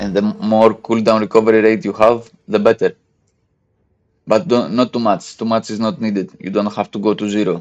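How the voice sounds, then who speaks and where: A man talks at a fairly quick pace in a fairly low pitch. His pitch varies in an ordinary way. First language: not English. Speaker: gaming content creator. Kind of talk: tutorial. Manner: halting, many fillers.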